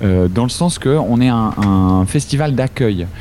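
Lively intonation comes through noticeable background noise. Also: man. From Switzerland. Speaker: improv actor and singer. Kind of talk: casual interview. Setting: Skype call. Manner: hesitant, many repetitions.

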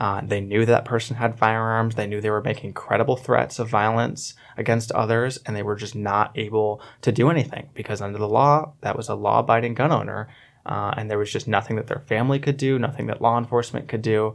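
Using a normal speaking voice, a man with an American accent talks at a fairly quick pace and medium pitch, with fairly even intonation and hardly any pauses, on a very clean recording with a silent background. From Orlando, Florida. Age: 20s. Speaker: campaign manager. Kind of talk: radio panel discussion. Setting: studio.

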